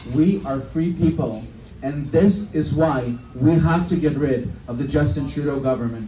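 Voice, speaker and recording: Audible room echo and noticeable background noise accompany speech at a fairly slow pace with ordinary pitch variation. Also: man, fairly high pitch for a man. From former Soviet Union. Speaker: politician. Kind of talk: campaign speech. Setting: bar event with live audience. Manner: impassioned.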